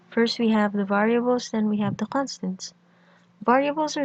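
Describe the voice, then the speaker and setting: At a moderate pace, a woman speaks in a fairly high, somewhat breathy voice with fairly even intonation and a dry, close sound with no echo. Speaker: programming tutor. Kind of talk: screencast tutorial narration.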